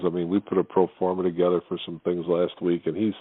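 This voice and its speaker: This man's voice sits at a very deep, low pitch. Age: 60s. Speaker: golf club director. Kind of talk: interview.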